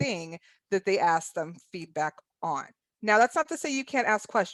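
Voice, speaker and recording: Lively intonation from a woman of medium pitch, dry and close with no echo. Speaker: workshop presenter. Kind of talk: virtual conference presentation. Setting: virtual online session. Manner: fast.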